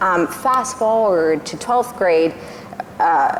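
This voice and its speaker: Woman's voice with ordinary pitch variation, audible room echo and noticeable background noise. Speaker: speech therapist. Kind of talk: panel discussion. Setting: stage with audience.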